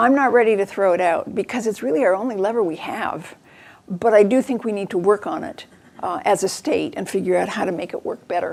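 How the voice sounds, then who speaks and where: Her pace fairly quick, a woman with an unremarkable speaking voice talks at a medium pitch with lively intonation. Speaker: education researcher giving a talk. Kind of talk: lecture. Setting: venue with audience.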